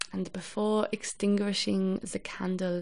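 The pitch shifts with ordinary variation. The delivery is plain reading aloud.

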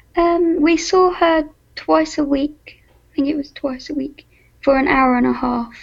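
At a fairly slow pace, the speaker's pitch shifts in an ordinary way. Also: woman, high pitch for a woman. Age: 20s. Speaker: patient sharing story. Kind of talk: interview. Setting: phone call.

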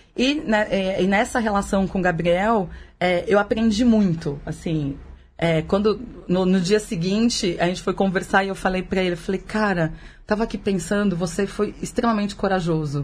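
A somewhat breathy woman with ordinary pitch variation. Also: medium pitch for a woman, moderate pace. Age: 40s. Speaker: podcast guest, mother of three teenagers. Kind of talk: casual chat.

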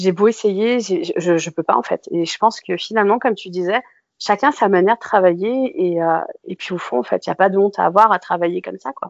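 The woman's voice has a medium pitch with ordinary pitch variation. Her pace is fairly quick. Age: 30s. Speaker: food photographer and stylist. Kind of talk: interview conversation. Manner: halting.

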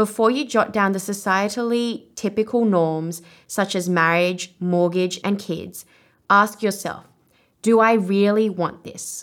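Speaking with an Australian accent, a woman keeps to a medium pitch and fairly even intonation. Her pace is fairly slow, and the recording is very clean with a silent background. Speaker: podcast host, life coach and author. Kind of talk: podcast episode with audiobook excerpt reading.

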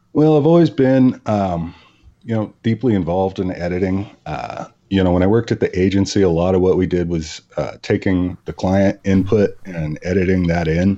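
In an American accent, a man talks at a moderate pace with a very deep, low pitch, a dark, mellow tone, and ordinary pitch variation. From Virginia. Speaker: author and editor. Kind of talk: casual interview. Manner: halting, many fillers.

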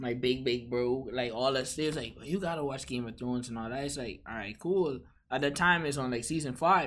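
Speaking at a fairly quick pace, a man has a normal speaking voice of medium pitch with ordinary pitch variation, on a very clean recording with a silent background. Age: 20s. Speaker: cinema AV specialist. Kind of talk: casual chat.

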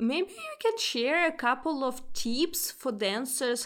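A woman speaks with a fairly bright tone.

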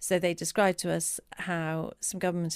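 A woman speaks with an English accent at a fairly low pitch. The recording is very clean, with a silent background. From England. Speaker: cookbook author and charity worker. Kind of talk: interview.

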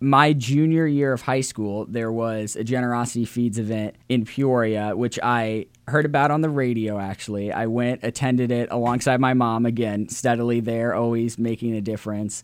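Someone talks with a Midwestern American accent, leaving hardly any pauses. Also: man, medium pitch for a man, fairly even intonation, moderate pace. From US Midwest, Central Illinois. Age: young. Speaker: college student and charity organizer. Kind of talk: interview.

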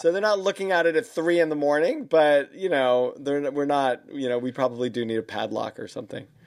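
With lively intonation, a man with a fairly high pitch speaks at a fairly quick pace. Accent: New York. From US Northeast, New York. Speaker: podcast host, leadership consultant. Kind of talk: interview podcast. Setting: video call. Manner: halting, many fillers.

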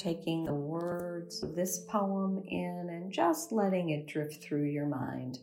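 Very slow in pace with hardly any pauses, a woman speaks in a soothing, gentle tone. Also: fairly low pitch for a woman, ordinary pitch variation. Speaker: meditation teacher. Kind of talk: guided meditation. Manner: slow, soothing and gentle; calm, unhurried, warm.

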